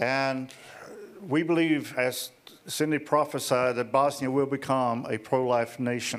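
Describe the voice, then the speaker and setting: An unremarkable speaking voice from a man, medium in pitch, fairly slow, with fairly even intonation. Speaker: ministry leader. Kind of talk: speech with interpreter. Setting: stage with audience.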